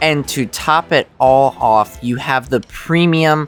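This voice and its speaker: Music plays behind the speaker. A man talks at a fairly high pitch. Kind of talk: game review narration.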